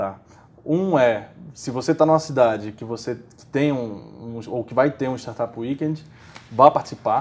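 At a fairly slow pace, a man talks with ordinary pitch variation and long, frequent pauses. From Brazil, Maceió, Alagoas; Alagoas, Brazil. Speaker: startup community organizer; interview guest. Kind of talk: interview. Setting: bookstore. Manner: halting, many repeated fillers. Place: studio.

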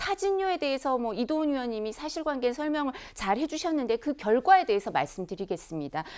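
Against a quiet background, a woman with a high pitch speaks at a moderate pace with very wide pitch swings. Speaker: lawyer. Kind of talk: TV political panel discussion. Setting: studio. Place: studio.

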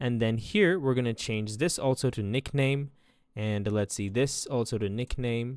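On a very clean recording with a silent background, a man talks at a fairly slow pace and a medium pitch. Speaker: coding tutorial instructor. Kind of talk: tutorial. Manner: hesitant with fillers.

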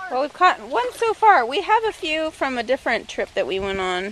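A woman talks at a moderate pace with lively intonation. The sound is dry, with no echo. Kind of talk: casual vlog chat. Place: waterside. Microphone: phone near.

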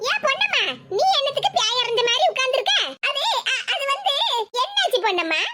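A woman does a cartoonish character voice at an extremely high pitch. Her intonation is lively and her pace moderate. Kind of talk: village comedy cartoon acting. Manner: gossipy, meddlesome, easily cowed.

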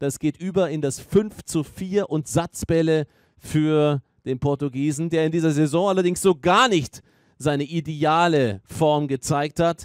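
An ordinary speaking voice from a man, fairly high in pitch with ordinary pitch variation, in a dry, close sound with no echo. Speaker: tennis commentator. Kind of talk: live sports commentary on a tennis match. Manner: fluent, engaged, analytical play-by-play.

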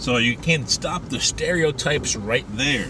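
A man's voice is a dry sound with no echo, amid loud background noise. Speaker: street preacher, evangelist. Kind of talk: religious commentary to camera. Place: car. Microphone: phone near.

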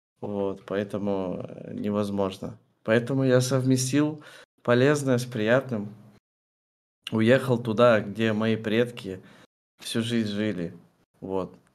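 A man at a medium pitch talks very slowly with fairly even intonation, leaving long, frequent pauses. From Kazakhstan (Kostanay); Kazakhstan. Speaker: streamer. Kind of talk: interview. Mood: relaxed, friendly. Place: home room.

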